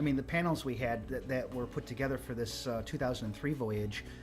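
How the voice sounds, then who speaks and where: With music behind him, a man speaks fairly quickly at a medium pitch with ordinary pitch variation. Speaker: home theater cruise host. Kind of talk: casual commentary conversation.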